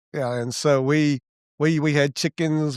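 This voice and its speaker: Fairly even intonation from a man with a fairly high pitch and a Mississippi accent, on a very clean recording with a silent background. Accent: Southern US (Mississippi). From Mississippi, US South. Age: 60s. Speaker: church elder and founding member. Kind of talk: casual chat. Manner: halting, with frequent restarts and fillers.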